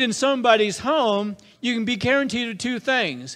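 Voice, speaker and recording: Loud and extremely high for a man, his voice shows ordinary pitch variation on a very clean recording with a silent background. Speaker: pastor. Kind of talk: sermon.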